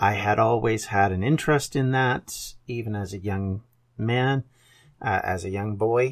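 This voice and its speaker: A man with a Canadian accent and an unremarkable speaking voice talks at a fairly slow pace with a fairly low pitch. His pitch variation is ordinary, and the recording is very clean with a silent background. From Canada. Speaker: podcast host, historian. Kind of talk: educational podcast monologue.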